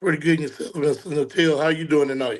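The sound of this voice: Using a raspy, put-on character voice, a man rattles along at a very fast pace, fairly high in pitch with fairly even intonation.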